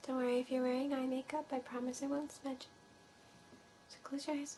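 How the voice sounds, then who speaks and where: High-pitched woman's voice, dark and mellow in tone, monotone and flat, at a fairly quick pace. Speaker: ASMR artist. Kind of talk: role-play. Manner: soft-spoken.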